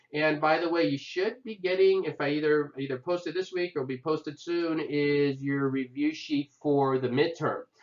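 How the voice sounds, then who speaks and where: There is noticeable background noise as a man speaks at a fairly high pitch and a moderate pace. His intonation stays fairly even, with hardly any pauses. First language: not English. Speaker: history instructor. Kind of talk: lecture. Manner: casual, conversational with fillers.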